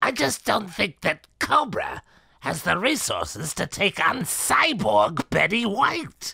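A raspy voice at a fairly high pitch speaks at a fairly slow pace. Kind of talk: comic voice acting. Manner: polite, amused, teasing.

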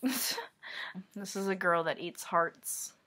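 A woman mumbles at medium pitch with fairly even intonation. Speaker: artist. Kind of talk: casual talk to camera. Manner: mumbled. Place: home room. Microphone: webcam.

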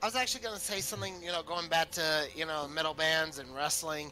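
Over light background noise, a man speaks in a raised, projected voice. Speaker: gamer. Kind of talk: casual chat.

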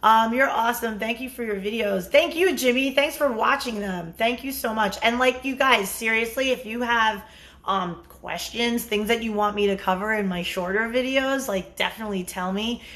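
With an American accent, a woman talks at a moderate pace and hardly pauses. Her pitch varies in an ordinary way. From New York, Bronx and Long Island; New York. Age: 50s. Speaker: dating and relationship coach; dating coach. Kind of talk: live-stream Q&A monologue. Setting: live stream. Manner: casual, with fillers. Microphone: phone near.

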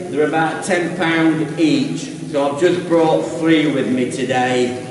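With light background noise and audible room echo, a man speaks at a very slow pace with ordinary pitch variation. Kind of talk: tutorial. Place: tunnel cave.

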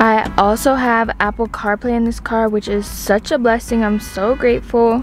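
With music in the background, a woman speaks in a monotone, flat intonation at a fairly slow pace, the sound dry with no echo. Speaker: vlogger showing her new car. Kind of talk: casual vlog chat. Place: car. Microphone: phone near.

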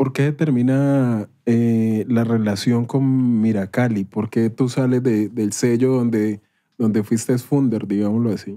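Against a quiet background, a man speaks at a fairly slow pace and a medium pitch. His tone is dark and mellow, his loudness very even. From Colombia, Cali. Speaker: podcast host. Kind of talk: casual interview chat. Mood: casual, joking. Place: studio. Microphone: studio mic.

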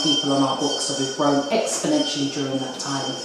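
A woman's voice comes through with noticeable background noise and strong room echo. Her pitch varies in an ordinary way. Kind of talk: interview answer. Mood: earnest, proud. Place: kitchen.

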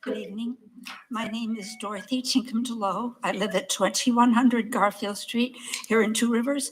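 Amid noticeable background noise, a woman speaks at a moderate pace with a fairly high pitch and fairly even intonation. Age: 70s. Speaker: member of the public. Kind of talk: public comment. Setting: city council meeting.

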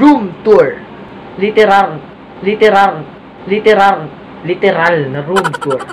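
Noticeable background noise runs under the recording. A man is the one talking. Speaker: vlogger. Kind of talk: casual vlog chat. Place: home room. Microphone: phone near.

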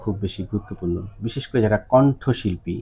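A man's somewhat breathy voice, fairly low in pitch, with a dark, mellow tone and ordinary pitch variation. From Bangladesh. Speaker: ENT doctor. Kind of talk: doctor's patient consultation video. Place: office. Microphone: lapel.

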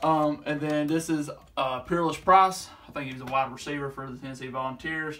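Over noticeable background noise, a man speaks with a bright, sharp tone and fairly even intonation. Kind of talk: casual vlog chat. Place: home room. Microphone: phone near.

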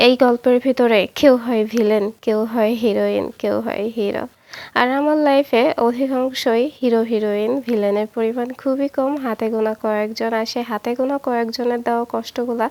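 This woman's voice is fairly high in pitch, with a dark, mellow tone and monotone, flat intonation. The recording is very clean and dry, close with no echo, over a silent background. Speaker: lifestyle vlogger. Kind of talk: vlog narration with cooking.

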